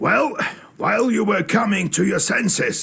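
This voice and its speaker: A man speaks at a moderate pace in a raspy, high-pitched put-on character voice. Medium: video game. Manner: musing, folksy.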